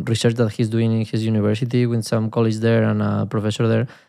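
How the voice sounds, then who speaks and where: Against a quiet background, a man with a Spanish accent speaks at a medium pitch. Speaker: podcast host, software developer. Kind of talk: casual chat, technical discussion. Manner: casual, humorous, laughs often.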